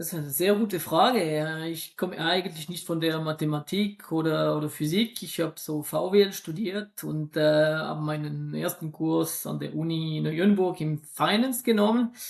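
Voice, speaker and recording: A man with a non-native accent speaks at a moderate pace and a fairly high pitch. He uses ordinary pitch variation and hardly any pauses. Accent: noticeable accent, weak Swiss German. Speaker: statistics lecturer and investment expert. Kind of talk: podcast interview. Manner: hesitant, many fillers and repetitions.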